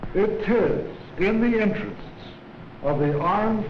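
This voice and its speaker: Through audible room echo and light background noise, a man with a high pitch and ordinary pitch variation talks at a very slow pace. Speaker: army officer giving a speech. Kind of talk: formal wartime speech appealing for war bonds. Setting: 1940s newsreel recording. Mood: earnest, solemn. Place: office. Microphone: podium.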